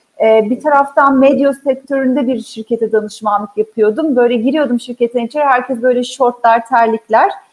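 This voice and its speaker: A woman's high-pitched voice with very even loudness and fairly even intonation. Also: moderate pace, hardly any pauses. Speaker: HR executive. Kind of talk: interview.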